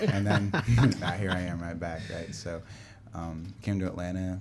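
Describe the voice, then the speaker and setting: With an American accent, a man speaks at a very deep, low pitch over noticeable background noise. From US Northeast, New York and Connecticut. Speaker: server and personal trainer. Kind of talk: casual chat. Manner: halting, many fillers.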